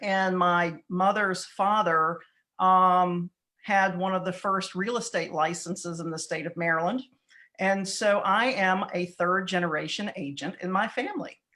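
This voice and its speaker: A woman speaks with a Southern US accent at a medium pitch. Her intonation is fairly even, and the background is quiet. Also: fairly slow pace. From southeastern North Carolina. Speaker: real estate broker. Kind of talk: interview.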